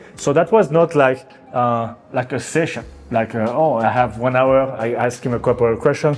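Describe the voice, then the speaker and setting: A man at medium pitch with fairly even intonation and a moderate pace, music in the background. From France. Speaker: artist. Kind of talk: casual talk to camera. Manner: halting.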